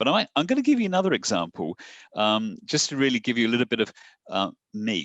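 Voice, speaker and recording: With an English accent, a man speaks at a fairly quick pace with lively intonation, his sound dry and close with no echo against a quiet background. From southern England, Portsmouth. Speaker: satellite company executive. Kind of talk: podcast interview.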